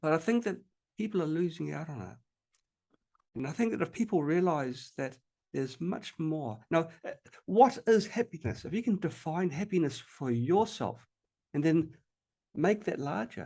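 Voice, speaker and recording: With a New Zealand accent, a man speaks at a moderate pace in a high, dark, mellow voice, using very wide pitch swings and long, frequent pauses over a quiet background. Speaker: health technology researcher and inventor. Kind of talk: podcast interview. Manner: halting, many fillers and repetitions.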